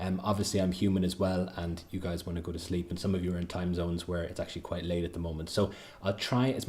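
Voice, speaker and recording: Somewhat breathy and monotone with flat intonation, the voice moves at a very fast pace with audible room echo. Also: man. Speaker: accountancy exam tutor. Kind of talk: livestream lecture.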